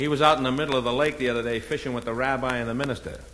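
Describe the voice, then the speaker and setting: A man with an American accent talks very fast at a medium pitch, his intonation fairly even, over noticeable background noise. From Boston. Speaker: comedian. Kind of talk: stand-up comedy album.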